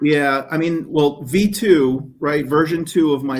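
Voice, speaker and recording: Pitch moves in an ordinary way as the speaker talks with an American accent. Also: man. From New Jersey (far northwest). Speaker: detailing YouTuber and product maker. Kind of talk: casual podcast interview. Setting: video call from hotel room. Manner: hesitant, many fillers and repeats.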